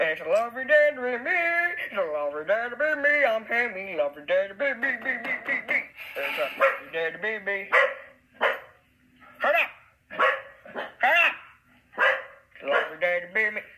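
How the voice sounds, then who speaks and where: Putting on a character voice at an extremely high pitch, a man talks at a fairly quick pace broken by long, frequent pauses. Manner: sing-song, cheerful.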